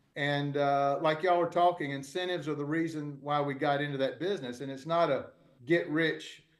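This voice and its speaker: Audible room echo surrounds this man's fairly high voice. He speaks at a fairly quick pace with fairly even intonation. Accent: American. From US South, Georgia (Albany). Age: 60s. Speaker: real estate developer. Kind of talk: panel discussion. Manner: halting, many fillers.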